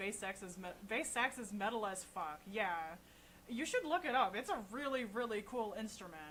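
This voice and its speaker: A woman's fairly high voice at a moderate pace with ordinary pitch variation. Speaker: livestreaming saxophonist. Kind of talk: casual live stream chat. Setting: live stream. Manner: soft-spoken; loud. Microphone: voice too quiet on mic, no equalizer.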